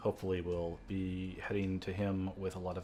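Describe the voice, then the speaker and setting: A man speaks in a very deep, low voice with fairly even intonation. His pace is fairly slow, with music playing in the background. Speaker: let's play gamer. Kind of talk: gameplay commentary. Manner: flat, little inflection.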